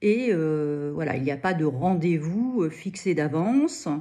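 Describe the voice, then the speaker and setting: Against a quiet background, a woman speaks with a dark, mellow tone. Her pace is very slow and her intonation lively. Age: 60s. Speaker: knitting student. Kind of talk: testimony. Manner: halting, many hesitations.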